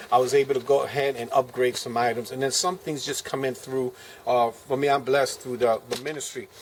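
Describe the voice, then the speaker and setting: Noticeable background noise runs under this clip. A man with a fairly high voice talks at a very fast pace. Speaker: preacher and survivalist video maker. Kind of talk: gear show-and-tell video. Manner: casual with many fillers.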